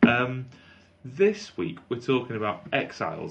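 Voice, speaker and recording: A man talks at a fairly slow pace. Noticeable background noise sits behind his voice. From North Wales. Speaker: podcast co-host. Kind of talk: casual banter and storytelling. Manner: animated storyteller.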